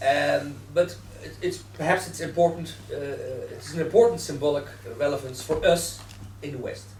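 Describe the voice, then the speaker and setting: A man speaks in a Dutch accent. Audible room echo surrounds his voice. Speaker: newspaper editor. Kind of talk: panel debate.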